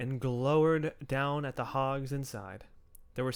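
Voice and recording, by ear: Reading aloud in a natural voice, with fairly even intonation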